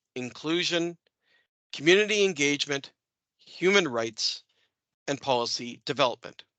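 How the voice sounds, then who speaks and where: With a Canadian accent, a man speaks in a bright, sharp tone, the sound dry and close with no echo and a quiet background. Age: 50s. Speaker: city official. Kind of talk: formal speaker introduction. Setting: webinar.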